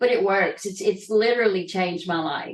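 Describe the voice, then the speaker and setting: A woman speaks in a Southern US accent. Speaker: trafficking survivor and entrepreneur. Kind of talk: interview testimony. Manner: halting.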